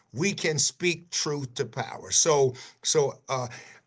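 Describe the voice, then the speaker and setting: The background stays quiet. A man talks in an American accent. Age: 70s. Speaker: pastor. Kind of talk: panel discussion. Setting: video call. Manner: animated.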